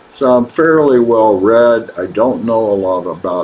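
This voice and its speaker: Amid noticeable background noise, a man with a fairly low pitch talks at a fairly slow pace with lively intonation. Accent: American. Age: 70s. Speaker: author. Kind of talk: personal video monologue. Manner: halting, frequent uh fillers.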